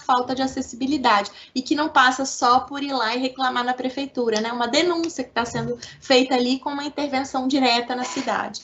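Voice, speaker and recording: In a Minas Gerais accent, a woman speaks in a high pitch with fairly even intonation. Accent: mineiro. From Minas Gerais, Belo Horizonte. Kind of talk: radio interview.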